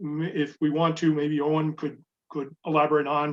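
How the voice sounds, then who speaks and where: In an unremarkable speaking voice, a man with a fairly high pitch talks at a moderate pace against a quiet background. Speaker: sailing handicapper presenter. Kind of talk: webinar presentation.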